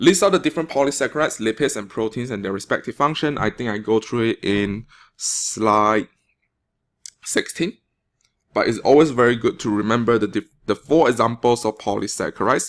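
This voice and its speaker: A man with a Malaysian accent and medium pitch speaks at a moderate pace, using lively intonation and long, frequent pauses, on a very clean recording with a silent background. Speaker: teacher. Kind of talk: classroom test review lecture.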